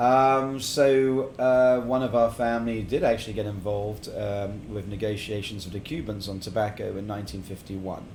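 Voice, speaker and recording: A man with an English accent and a fairly low voice talks at a moderate pace with hardly any pauses, ordinary pitch variation and big swings in loudness, amid audible room echo. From England, partly Middle East. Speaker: cigar company founder. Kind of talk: casual interview chat. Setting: cigar lounge.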